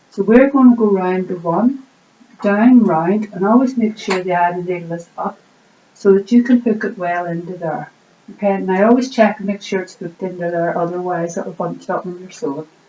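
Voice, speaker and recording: Against noticeable background noise, a woman speaks in a calm tone with ordinary pitch variation and big swings in loudness. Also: medium pitch for a woman, fairly quick pace. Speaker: sewing teacher. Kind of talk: instructional demonstration for beginners. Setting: home recording with a camera. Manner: friendly, calm, conversational.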